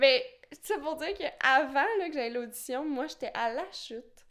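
Speaking with a Quebec accent, a woman has a high pitch. Her pace is fairly slow. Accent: Québécois French. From rural Quebec. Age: 20s. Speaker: contemporary dancer. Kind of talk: casual chat.

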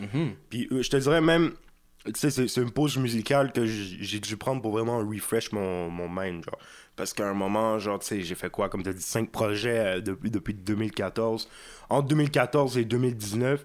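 A man with a Quebec accent at a fairly slow pace, medium in pitch with ordinary variation. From Quebec, Montreal (Saint-Léonard). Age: young. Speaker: rapper. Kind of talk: casual chat. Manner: laid-back slangy speech with English words.

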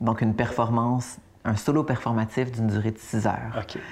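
The speaker talks at a moderate pace with a Quebec accent. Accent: Québécois French. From Quebec, Laurentides. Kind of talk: interview.

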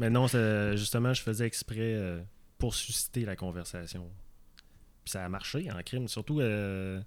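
Recorded very cleanly over a silent background, a man with a Quebec accent talks at a moderate pace and medium pitch, with ordinary pitch variation. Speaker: fundraiser for men's health campaign. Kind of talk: casual chat. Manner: hesitant, repeats words.

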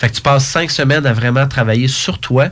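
A man talks at a very fast pace with medium pitch and ordinary pitch variation. Noticeable background noise runs underneath. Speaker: speaker, coach and author. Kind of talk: interview. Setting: studio.

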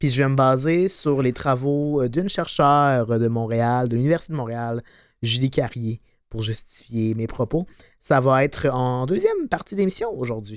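On a very clean recording with a silent background, a man speaks at a fairly slow pace. His pitch is medium, with ordinary variation. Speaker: podcast co-host. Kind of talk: informative segment; casual chat. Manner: energetic.

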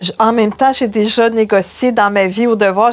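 A woman speaks fairly quickly, her intonation fairly even, against noticeable background noise. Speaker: journalist and columnist. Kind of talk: interview.

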